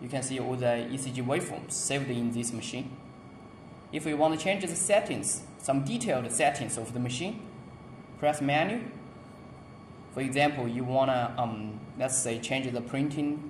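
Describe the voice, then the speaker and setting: The speech moves at a moderate pace, broken by long, frequent pauses. Light background noise and audible room echo are present. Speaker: product demonstrator. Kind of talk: tutorial. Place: office. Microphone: phone near.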